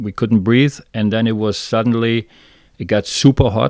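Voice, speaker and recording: A man speaks in a dark, mellow tone at a fairly low pitch and fairly slow pace. His intonation is fairly even, in a very clean recording with a silent background. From Germany, southern Munich area. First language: German. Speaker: fishing guide. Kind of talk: interview, personal testimony. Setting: podcast interview. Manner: halting, many fillers and restarts.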